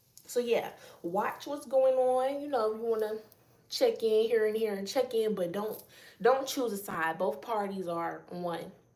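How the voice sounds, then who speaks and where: There is audible room echo around this voice. A woman talks at a fairly high pitch. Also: ordinary pitch variation. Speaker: spiritual channeler. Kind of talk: spiritual message reading. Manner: casual; loud.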